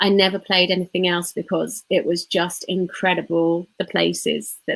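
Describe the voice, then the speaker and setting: A woman with an unremarkable speaking voice and fairly low pitch speaks at a moderate pace with fairly even intonation, in a dry, close sound with no echo. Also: very even loudness. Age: 40s. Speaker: tarot reader and transformation coach. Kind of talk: casual interview chat.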